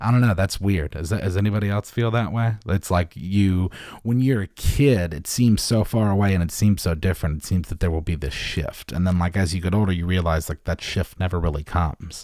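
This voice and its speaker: Hardly pausing, a man with an American accent speaks in a very deep, low, dark and mellow voice with ordinary pitch variation. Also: fairly quick pace, very clean recording, silent background. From US South (north Florida). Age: 30s. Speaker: podcast host. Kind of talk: solo podcast monologue. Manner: rambling, halting.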